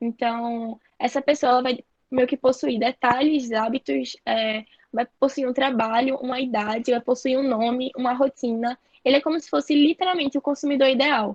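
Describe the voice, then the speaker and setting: Recorded with a dry, close sound and no echo, a woman speaks at a moderate pace with a high pitch. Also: fairly even intonation. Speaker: marketing trainer. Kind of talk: online training lecture.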